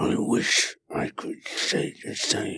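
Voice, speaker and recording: A man puts on a raspy character voice. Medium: actual play. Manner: terse, formal, sparing with words.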